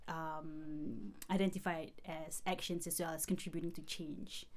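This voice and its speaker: Here a woman is speaking. Her pace is fairly slow. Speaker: PhD student. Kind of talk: interview discussion. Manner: hesitant, filler words.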